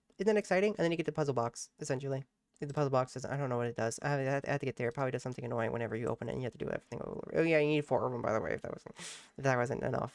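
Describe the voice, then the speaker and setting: A man at a very fast pace, fairly high in pitch, with an animated tone and a dry, close sound with no echo. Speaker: gaming YouTuber. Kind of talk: let's play commentary.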